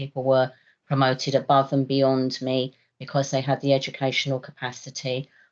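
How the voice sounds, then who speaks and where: Speaking in a very deep, low voice, a woman keeps her intonation monotone and flat. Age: 60s. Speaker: university head of operations. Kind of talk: panel discussion.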